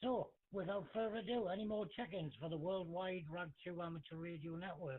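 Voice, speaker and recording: Lively intonation and a British accent mark this voice, delivered at a moderate pace. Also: man. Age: 40s. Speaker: amateur radio net control. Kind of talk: radio net chat. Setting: amateur radio.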